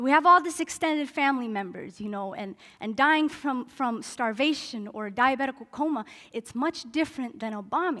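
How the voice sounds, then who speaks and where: A woman with an American accent projects a raised, high-pitched voice with a bright, sharp tone, lively intonation and big swings in loudness at a moderate pace. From Denver, Colorado. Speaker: spoken word poet and activist. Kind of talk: storytelling talk at a summit. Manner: gracefully delivered.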